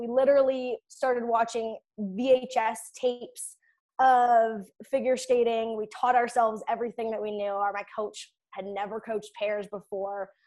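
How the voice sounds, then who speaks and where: In a Canadian Prairie accent, a woman speaks at a moderate pace with a high pitch. The recording is very clean, the background silent. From Saskatchewan, Canada (rural ranch). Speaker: Olympic figure skater and performance coach. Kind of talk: casual interview.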